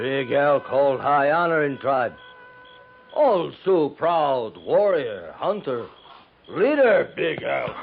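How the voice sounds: A man's put-on character voice at medium pitch, slow, with big pitch swings, vocal fry and a slightly husky edge, faint music in the background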